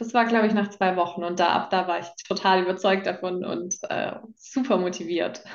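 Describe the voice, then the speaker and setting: A woman at a medium pitch has a plain, everyday voice, speaking at a moderate pace with fairly even intonation. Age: 20s. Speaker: coaching client sharing her experience. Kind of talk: testimonial interview.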